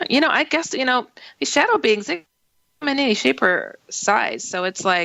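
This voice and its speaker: A woman speaks in a high voice, her pitch swinging very widely. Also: moderate pace. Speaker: radio show host. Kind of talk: talk radio show hosting. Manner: casual, chatty.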